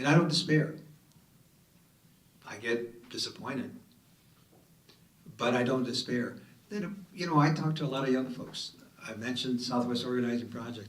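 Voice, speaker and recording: Amid noticeable background noise and audible room echo, a man talks at a moderate pace with big swings in loudness and long, frequent pauses. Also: medium pitch for a man, ordinary pitch variation. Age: 70s. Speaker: city councilor on a panel. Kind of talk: panel discussion. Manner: animated.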